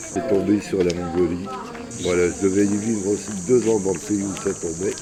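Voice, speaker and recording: A man's fairly low voice at a moderate pace with fairly even intonation, amid noticeable background noise and audible room echo. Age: 60s. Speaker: street performer, knife juggler. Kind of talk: casual chat, life story.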